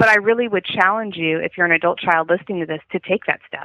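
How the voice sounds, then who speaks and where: An unremarkable speaking voice with an American accent. Its pitch varies in an ordinary way. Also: woman. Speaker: elder law attorney. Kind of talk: podcast interview.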